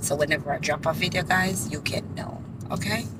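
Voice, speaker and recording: The speaker has a Jamaican accent. The pace is fairly slow. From Jamaica, Saint Thomas. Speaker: vlogger. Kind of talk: casual vlog talk. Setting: in a car.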